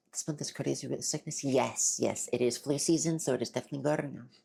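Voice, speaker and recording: With vocal fry and a dark, mellow tone, a woman speaks at a very deep, low pitch, keeping her intonation fairly even at a fairly quick pace. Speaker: streamer. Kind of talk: casual chat. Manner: halting, many fillers.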